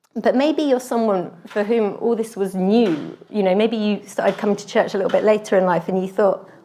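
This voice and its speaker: A woman with an English accent, ordinary pitch variation and hardly any pauses. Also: medium pitch for a woman. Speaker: lay preacher. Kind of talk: sermon. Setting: church. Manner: conversational, with fillers.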